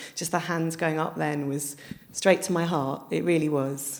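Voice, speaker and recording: In a southern English accent, a woman speaks at a moderate pace with a very deep, low pitch and fairly even intonation. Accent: southern English, flat vowels. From London. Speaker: author. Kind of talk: live public interview. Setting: library event with audience.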